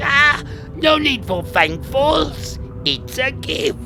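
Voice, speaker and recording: Someone puts on a character voice and speaks at a very slow pace while clear music plays in the background. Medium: machinima. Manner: quaint broken grammar.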